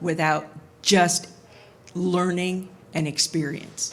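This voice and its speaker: A woman's fairly low pitch with vocal fry, monotone, flat intonation and a fairly slow pace. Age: 60s. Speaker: audience member, hospital information security worker. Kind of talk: audience comment at panel Q&A.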